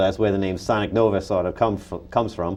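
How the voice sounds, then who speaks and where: A man's voice with a dark, mellow tone. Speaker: comic book artist. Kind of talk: interview. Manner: fast; animated.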